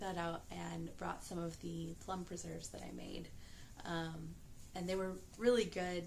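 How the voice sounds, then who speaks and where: A soft-spoken woman with a calm tone, at a moderate pace with fairly even intonation. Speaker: pastry chef and mother of young children. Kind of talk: casual talk to camera, vlog. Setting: late at night, quiet home. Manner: soft-spoken, calm, quiet.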